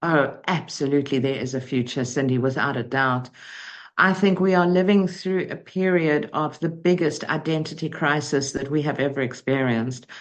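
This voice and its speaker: A woman with a very deep, low pitch talks at a moderate pace with ordinary pitch variation. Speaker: motivational speaker and coach. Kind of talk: interview. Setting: podcast. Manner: articulate, measured.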